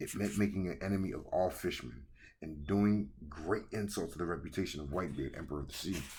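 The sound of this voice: The speaker uses an unforced reading voice. The pitch moves with ordinary variation.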